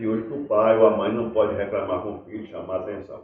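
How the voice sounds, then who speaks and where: A man at a very fast pace. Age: 60s. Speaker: folk performer. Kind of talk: life-story interview. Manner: halting.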